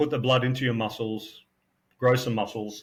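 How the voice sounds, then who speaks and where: In a very clean recording with a silent background, a man with an Australian accent speaks at a moderate pace in a somewhat breathy, medium-pitched voice. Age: 50s. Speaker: personal trainer. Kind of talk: casual debate chat.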